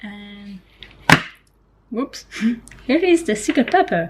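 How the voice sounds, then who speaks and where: A woman with a non-native accent speaks fairly slowly. Her high voice swings very widely in pitch. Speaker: freelance illustrator. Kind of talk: casual vlog talk to camera.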